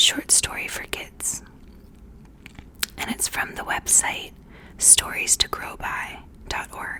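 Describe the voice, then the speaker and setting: Very slow whispering with long, frequent pauses over noticeable background noise. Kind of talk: ASMR intro and fact reading. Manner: soft, relaxing, close-mic whisper.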